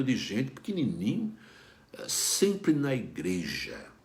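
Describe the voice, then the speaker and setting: A man's voice with very wide pitch swings comes through with audible room echo. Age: 60s. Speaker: pastor. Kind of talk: devotional talk. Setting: online video broadcast. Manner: conversational, with fillers.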